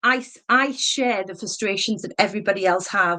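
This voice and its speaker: Speaking with a northeast English accent, a woman uses a medium pitch, a bright, sharp tone and lively intonation at a fairly quick pace. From northeast England, mining town. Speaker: election candidate. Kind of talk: campaign speech. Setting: public meeting hustings.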